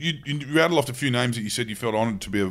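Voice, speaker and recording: A man with an Australian accent, medium pitch and lively intonation. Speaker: podcast co-host. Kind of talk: casual chat.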